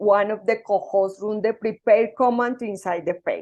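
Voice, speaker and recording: A woman with a Spanish accent talks at a moderate pace and a fairly high pitch. Her intonation is fairly even, and the background is quiet. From Colombia. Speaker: software engineer and conference speaker. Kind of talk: conference talk. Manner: halting.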